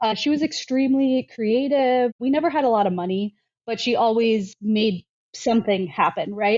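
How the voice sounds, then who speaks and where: A woman with an American accent talks at a moderate pace in a plain, everyday voice. Her pitch is fairly high, with ordinary pitch variation. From US, military family moving around. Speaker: quilter and sewing designer. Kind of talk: casual chat.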